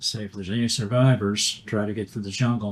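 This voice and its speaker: With a Western Kentucky accent, a man talks at a moderate pace. His fairly low pitch stays in a monotone, flat intonation. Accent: Western Kentucky Southern. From Livingston County, Kentucky. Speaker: Vietnam war veteran. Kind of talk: oral history interview answer.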